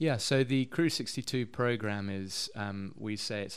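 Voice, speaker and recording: With a southern English accent, a man speaks at a fairly low pitch with ordinary pitch variation. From London, England. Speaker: missionary and community worker. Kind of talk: interview.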